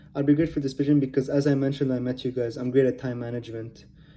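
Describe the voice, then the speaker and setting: Music plays in the background. A man of medium pitch speaks very fast in a monotone, flat delivery. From Lebanon. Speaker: pharmacology student. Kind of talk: self-presentation video pitch. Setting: recorded at home computer. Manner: casual, unpolished articulation.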